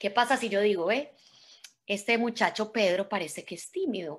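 Fairly quick delivery with ordinary pitch variation. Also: woman. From Colombia, Medellín. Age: 40s. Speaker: motivational speaker. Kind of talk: motivational talk. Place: home room. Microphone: video call.

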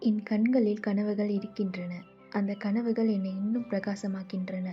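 Over music in the background, a woman speaks with a calm tone at a medium pitch in a monotone, flat intonation. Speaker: affirmation narrator. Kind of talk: guided affirmations.

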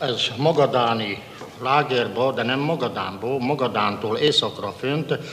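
There is noticeable background noise as a man speaks at a fairly slow pace. His pitch varies in an ordinary way. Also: medium pitch for a man. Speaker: former prisoner of war. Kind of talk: testimony.

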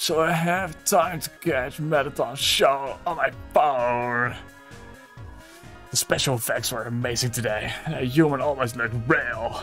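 Over clear background music, a man speaks in a put-on character voice of medium pitch at a fairly slow pace. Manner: put-on, comedic, barely holding back laughter.

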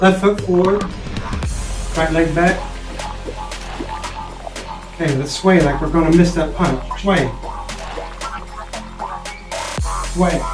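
Clear music plays behind a man with a high voice. He keeps a fairly slow pace and fairly even intonation. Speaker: fitness instructor. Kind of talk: workout instruction. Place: home room. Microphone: camera far.

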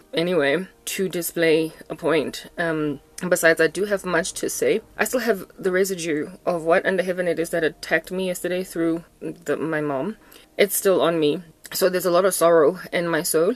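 A woman speaks in a fairly low pitch. Her pace is moderate and her intonation fairly even. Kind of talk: casual vlog chat. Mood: low, sorrowful. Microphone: phone near.

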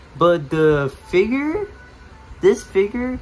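Music plays in the background as a man speaks at a very slow pace with lively intonation. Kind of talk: casual action figure review to camera. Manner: hesitant, repetitive.

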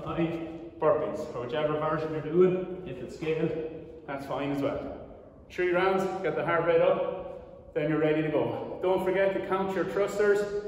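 Strong room echo surrounds fairly even intonation broken by long, frequent pauses. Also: man. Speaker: fitness coach. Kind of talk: tutorial. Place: gym. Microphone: camera far.

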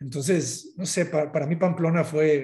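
Against a quiet background, a man with a fairly high pitch talks at a moderate pace, his tone dark and mellow and his intonation fairly even. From northern Mexico, Sinaloa. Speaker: architect; guest. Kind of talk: interview. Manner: halting, many repetitions. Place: home room. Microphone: video call.

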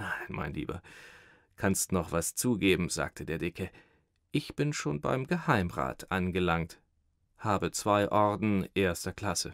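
Over a quiet background with a dry sound and no echo, a man with a very deep, low pitch speaks very slowly in a theatrical tone, his intonation lively and his pauses long and frequent. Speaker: audiobook narrator. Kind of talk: dramatized literary reading with character voices. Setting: studio recording. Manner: switches into a fawning, stammering servile voice for the thin man; theatrical, laughing in character between narrated lines. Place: studio.

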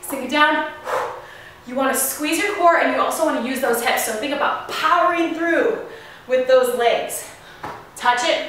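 A woman speaks in a raised, projected voice with ordinary pitch variation. Strong room echo surrounds her, along with light background noise. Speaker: fitness instructor. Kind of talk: workout tutorial instruction. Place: garage.

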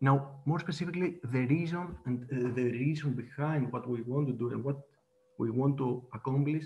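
A man with a Greek accent speaks in a somewhat breathy, dark, mellow voice at a moderate pace with fairly even intonation. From Greece. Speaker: data platform presenter; presenter. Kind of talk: webinar presentation and demo. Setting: video call. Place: home room. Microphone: webcam.

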